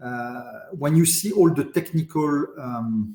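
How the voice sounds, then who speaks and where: A man speaks with a French accent and lively intonation. His tone is dark and mellow. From France, raised in Paris. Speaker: industry association deputy president. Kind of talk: podcast interview. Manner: halting, many repetitions and fillers.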